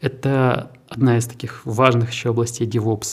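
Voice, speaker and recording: A man speaks at a medium pitch, somewhat breathy. The recording is very clean, with a silent background. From Siberia, Krasnoyarsk. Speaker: tech park director. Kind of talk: interview.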